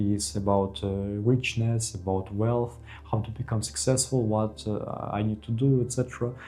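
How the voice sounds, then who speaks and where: A man speaks with a Ukrainian accent and a dark, mellow tone. His voice is somewhat breathy, with ordinary pitch variation. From Ukraine. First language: Ukrainian or Russian. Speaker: vlogger. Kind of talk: personal advice monologue. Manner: halting, many fillers.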